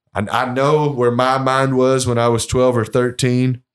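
Speaking at a fairly slow pace with a Kentucky accent, the voice comes through a very clean recording with a silent background. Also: man. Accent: Kentucky, US South. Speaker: master distiller. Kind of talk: casual interview. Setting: historic home on location.

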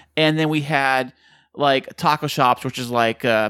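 A man at medium pitch speaks in a bright, sharp tone with fairly even intonation, on a very clean recording with a silent background. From California. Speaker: podcast co-host. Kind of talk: casual chat.

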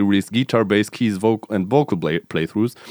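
Recorded dry and close with no echo, a man talks at a fairly low pitch with ordinary pitch variation and an unremarkable speaking voice. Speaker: podcast host. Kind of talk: casual chat.

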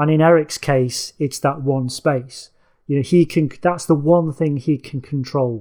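This man, in an East Midlands accent, has a fairly high pitch, a dark, mellow tone, and fairly even intonation. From England, Nottingham area working-class. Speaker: author and film critic. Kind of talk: casual chat. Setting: video call. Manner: halting, many fillers and repeats.

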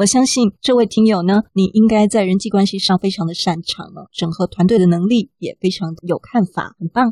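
A woman's somewhat breathy voice with a Taiwanese accent, medium pitch, and a dark, mellow tone, at a moderate pace with ordinary pitch variation, hardly any pauses, and a dry, close sound with no echo. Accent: Taiwanese Mandarin. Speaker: podcast host. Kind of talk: casual chat. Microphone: poor recording environment.

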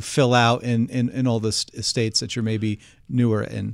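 In a New Jersey accent, a man talks at a moderate pace with medium pitch and ordinary pitch variation. The recording is very clean, with a silent background. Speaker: podcast host, analyst. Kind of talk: interview.

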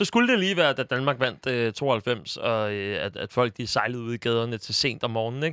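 Medium pitch from a man at a moderate pace, ordinary pitch variation, dry, close sound with no echo. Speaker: football podcast host. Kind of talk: casual chat. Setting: studio. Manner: halting, many filler sounds.

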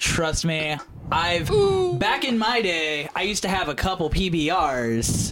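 A man speaks at a fairly slow pace with a fairly high pitch and lively intonation. His loudness stays very even over noticeable background noise. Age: 20s. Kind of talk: casual chat.

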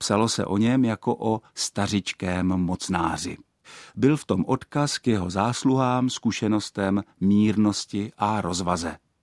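In an unremarkable speaking voice, a man with a fairly low pitch speaks at a fairly slow pace with ordinary pitch variation, the sound dry and close with no echo on a very clean recording with a silent background. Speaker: linguist / Czech language expert. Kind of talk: scripted narration. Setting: radio studio. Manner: formal.

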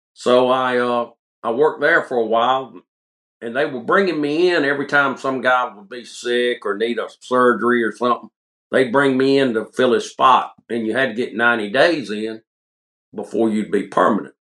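Here a man with a bright, sharp tone speaks at a moderate pace and medium pitch, with ordinary pitch variation. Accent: upstate South Carolina. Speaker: coon hunting light maker, former chemist. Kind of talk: casual interview chat.

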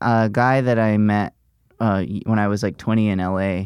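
Against a quiet background, a man with an American accent and an unremarkable speaking voice talks at a fairly low pitch with fairly even intonation. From US South, Gulf Shores, Alabama. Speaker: comedian. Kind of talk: casual chat.

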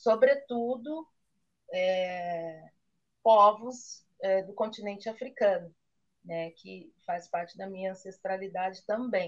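A woman talks at a very slow pace with ordinary pitch variation and big swings in loudness. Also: medium pitch for a woman. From Brazil, Campinas (São Paulo state). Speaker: chocolate maker. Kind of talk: interview.

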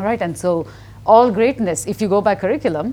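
Her voice has vocal fry as this woman talks at a moderate pace, with a medium pitch and ordinary pitch variation. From India. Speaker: newspaper columnist and author. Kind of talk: interview conversation.

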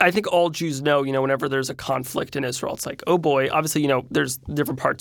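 With an American accent, a man speaks at a fairly high pitch with fairly even intonation. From New Jersey. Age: 20s. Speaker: celebrity chef and influencer. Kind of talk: interview. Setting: studio.

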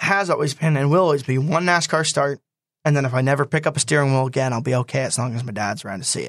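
A man with an American accent has a plain, everyday voice at a fairly high pitch with ordinary pitch variation. The sound is dry and close, with no echo. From New Jersey, Swedesboro. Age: 20s. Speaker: stock car racing driver. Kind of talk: interview. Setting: studio.

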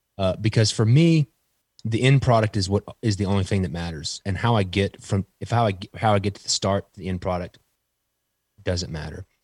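A man with a plain, everyday voice and an American accent, at a fairly quick pace with ordinary pitch variation and big swings in loudness, on a very clean recording with a silent background and a dry, close sound with no echo. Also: fairly low pitch for a man. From Texas. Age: 30s. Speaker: playing card designer. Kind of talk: casual chat.

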